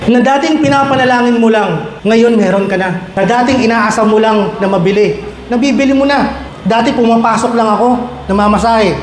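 Amid noticeable background noise, a man with a Filipino accent speaks at an extremely high pitch and a fairly quick pace, with ordinary pitch variation and very even loudness. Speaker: guest speaker, medical technologist and vlogger. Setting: stage with audience. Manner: animated, warm, humorous, building to an earnest, rousing pep-talk delivery.

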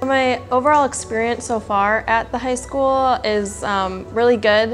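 Faint music plays in the background as a woman with an Upper Midwest accent speaks fairly slowly. Her pitch is fairly high and her intonation fairly even. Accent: Upper Midwest American. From Wisconsin. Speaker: athletic trainer. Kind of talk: interview answer. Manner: casual, hesitant with filler words. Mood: friendly, relaxed. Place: office. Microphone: lapel.

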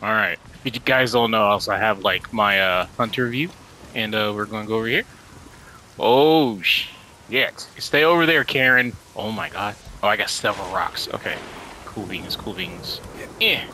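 The speech is broken by long, frequent pauses, with noticeable background noise behind it. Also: man, medium pitch for a man, ordinary pitch variation, moderate pace. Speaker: gaming YouTuber. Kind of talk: let's play commentary. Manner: animated.

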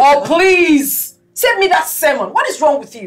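Faint music plays in the background while a woman speaks at a very slow pace. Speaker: actress in a drama. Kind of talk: scripted heated argument. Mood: angry, scolding. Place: kitchen.

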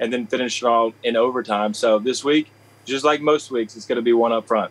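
A man is speaking. His pace is very fast. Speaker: former football quarterback, radio color analyst. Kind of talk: casual sports interview. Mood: upbeat and confident. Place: home room.

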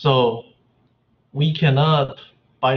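A man with a somewhat breathy voice at medium pitch speaks very slowly. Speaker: economics instructor. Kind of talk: lecture. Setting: video call. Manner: halting, many fillers.

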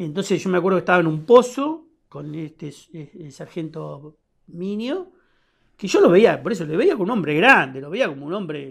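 A man's high voice at a moderate pace, with lively intonation, big swings in loudness and a quiet background. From Buenos Aires, Argentina (Lomas de Zamora, Temperley); Buenos Aires, Argentina. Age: 60s. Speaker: war veteran. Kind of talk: testimony. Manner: halting. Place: studio.

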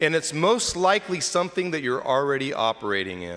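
This man's voice sits fairly high in pitch. It moves through very wide pitch swings. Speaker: deacon preaching. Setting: church during Mass. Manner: warm, conversational, teaching. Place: church. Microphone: podium.

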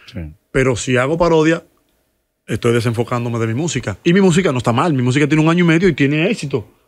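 Speaking very fast with lively intonation, a man with a Dominican accent has a fairly high pitch. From Dominican Republic. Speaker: musician and comedian; comedian. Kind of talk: casual interview chat. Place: studio. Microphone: studio mic.

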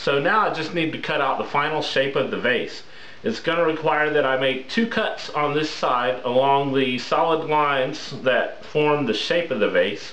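The man talks at a medium pitch and moderate pace with few pauses. His pitch varies in an ordinary way, with clear noise in the background.

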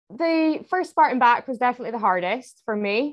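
A woman in a Scottish accent with lively intonation. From Scotland. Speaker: obstacle course racer. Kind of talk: podcast interview answer.

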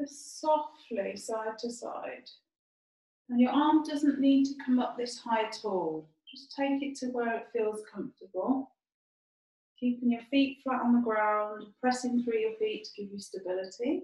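Against a quiet background with audible room echo, a woman speaks at a fairly slow pace in a high, dark and mellow voice with ordinary pitch variation. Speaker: yoga teacher. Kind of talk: guided chair yoga instruction. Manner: calm, gentle, slow and soothing cues; soft, unhurried, with frequent 'um' fillers. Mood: calm, soothing. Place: home room. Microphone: camera far.

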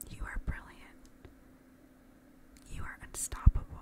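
Whispering comes through at a fairly slow pace. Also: woman. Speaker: ASMR creator. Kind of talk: ASMR positive affirmations with personal attention, addressed to the listener. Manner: soft, reassuring, encouraging. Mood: warm, encouraging. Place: home room. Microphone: studio mic.

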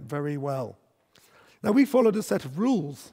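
Over a quiet background, a man is speaking. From Scotland. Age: 50s. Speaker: business executive; conference speaker. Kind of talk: conference keynote talk. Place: stage. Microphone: headset.

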